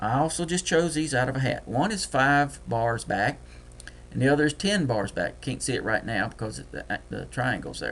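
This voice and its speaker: In a Deep South US accent, a man talks at a moderate pace. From US Deep South. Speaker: trading software tutor. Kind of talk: screen-share tutorial. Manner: casual, thinking aloud.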